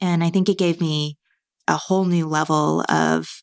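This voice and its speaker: Here a woman speaks in a Californian accent at a fairly slow pace. The recording is very clean, with a silent background. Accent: General American (Californian). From US West Coast, Marin County, California. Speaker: venture capital investor. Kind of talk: interview.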